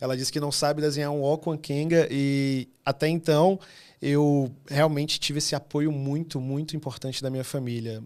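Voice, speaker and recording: A man with a northeastern Brazilian accent talks at a moderate pace in a fairly high pitch, and the recording is very clean with a silent background. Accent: northeastern Brazilian (Fortaleza). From Fortaleza, Ceará, northeastern Brazil. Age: 30s. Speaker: illustrator. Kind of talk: podcast interview. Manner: animated.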